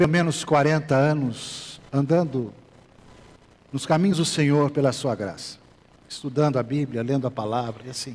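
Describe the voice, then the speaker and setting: A man with a medium pitch and ordinary pitch variation talks at a moderate pace, leaving long, frequent pauses. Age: 60s. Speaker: pastor. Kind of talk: sermon. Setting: church.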